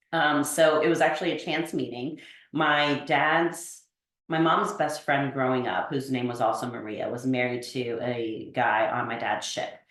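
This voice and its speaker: A woman's very deep, low voice at a fairly slow pace, with audible room echo. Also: ordinary pitch variation. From Italy (Naples), moved to US at 13. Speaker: podcast guest, networker. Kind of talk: casual interview chat.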